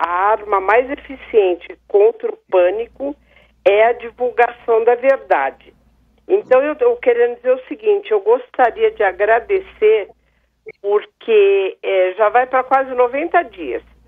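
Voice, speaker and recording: Pitch swings very widely in this fairly slow delivery. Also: woman, high pitch for a woman. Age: 60s. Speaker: caller. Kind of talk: radio call-in comment.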